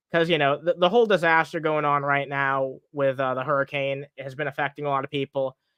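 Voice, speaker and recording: The voice mumbles with a bright, sharp tone and fairly even intonation, recorded dry and close with no echo against a quiet background. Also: man. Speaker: streamer commenting on online personalities. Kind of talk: live stream commentary. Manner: mumbling, stumbling over words; casual, profane.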